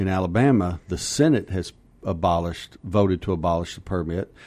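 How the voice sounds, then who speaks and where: This man's voice sits very deep and low, with ordinary pitch variation. He talks at a fairly quick pace on a very clean recording with a silent background. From Kentucky. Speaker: gun rights journalist. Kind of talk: radio interview.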